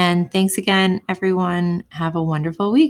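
A woman with a fairly low pitch speaks at a moderate pace in an enthusiastic tone, on a very clean recording with a silent background and a dry, close sound with no echo. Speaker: podcast host. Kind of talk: podcast introduction.

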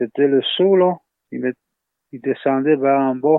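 A man talks fairly slowly, his medium-pitched voice showing ordinary pitch variation. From Lower North Shore, Quebec (Innu community). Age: 30s. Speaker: Innu community member. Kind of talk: interview testimony. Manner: halting.

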